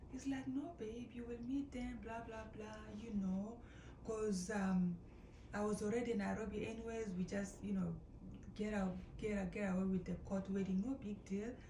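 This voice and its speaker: Noticeable background noise and audible room echo surround a woman speaking at a medium pitch and a moderate pace. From Kenya. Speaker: storytelling vlogger. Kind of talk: casual storytelling. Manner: animated.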